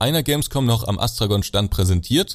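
A man's medium-pitched voice is somewhat breathy, with ordinary pitch variation. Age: 20s. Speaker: YouTuber showing simulation games. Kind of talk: casual chat.

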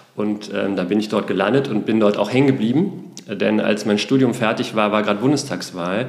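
Through noticeable background noise and audible room echo, a man talks at a fairly low pitch with ordinary pitch variation. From Berlin, Germany. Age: 40s. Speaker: nonprofit managing director. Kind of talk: interview. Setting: studio, in person in Hamburg.

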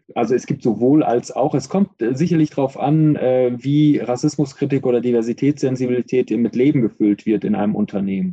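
Talking at a fairly quick pace with hardly any pauses, a man keeps a medium pitch, ordinary pitch variation and very even loudness. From Iran, raised in Germany. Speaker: professor, racism researcher. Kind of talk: interview. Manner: hesitant with frequent fillers.

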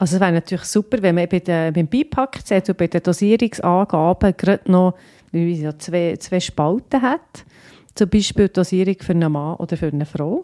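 A dark, mellow tone with ordinary pitch variation comes at a moderate pace through a dry, close sound with no echo and a very clean recording with a silent background. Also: woman, medium pitch for a woman. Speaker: pharmacist, podcast co-host. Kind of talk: casual medical chat.

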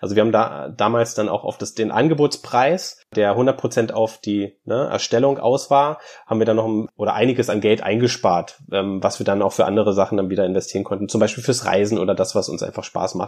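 A man with an unremarkable speaking voice and medium pitch talks at a fairly quick pace with hardly any pauses. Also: ordinary pitch variation. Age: 30s. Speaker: media professional and tiny house owner. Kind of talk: interview.

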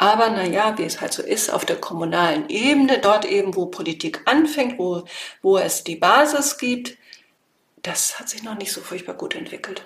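A woman speaks at a moderate pace with a fairly high pitch. Her pitch swings very widely, and her loudness rises and falls a lot. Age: 50s. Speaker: political scientist and association founder. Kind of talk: interview.

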